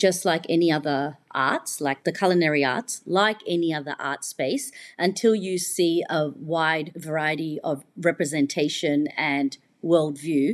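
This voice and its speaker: Speaking fairly slowly with an Australian accent, a woman with a fairly low pitch uses ordinary pitch variation on a very clean recording with a silent background. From Australia, Melbourne. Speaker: chef. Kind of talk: casual chat.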